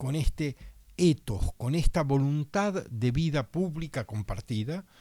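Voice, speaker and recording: Somewhat breathy and dark, mellow in tone, a man speaks very slowly at a fairly high pitch with lively intonation. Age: 60s. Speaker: political candidate. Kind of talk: radio interview.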